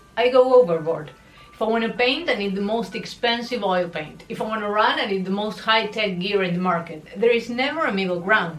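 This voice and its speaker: A woman with a non-native accent speaks at a fairly quick pace and medium pitch, her pitch varying in an ordinary way, with audible room echo and music playing in the background. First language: not English. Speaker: lifestyle vlogger. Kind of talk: personal confession vlog. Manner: conversational and expressive.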